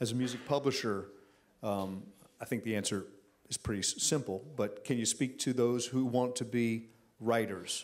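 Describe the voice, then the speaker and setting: Very clean recording with a silent background: a man's ordinary speaking voice, medium in pitch, moderate in pace, with fairly even intonation. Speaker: songwriter and songwriting instructor. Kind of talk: casual interview. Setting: stage with audience.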